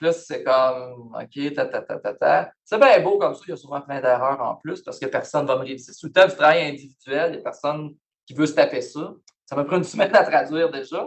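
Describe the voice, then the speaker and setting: A man's fairly high voice in a Quebec accent, at a moderate pace with ordinary pitch variation. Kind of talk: lecture. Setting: university lecture hall, also on Zoom. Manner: casual, conversational.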